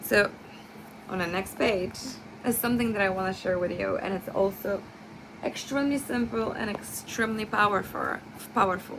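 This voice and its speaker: The woman has a non-native accent and a medium pitch, speaking at a moderate pace with long, frequent pauses. Noticeable background noise runs under her voice. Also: lively intonation. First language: not English. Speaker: nursing student. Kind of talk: class presentation. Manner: halting, with many fillers and self-corrections.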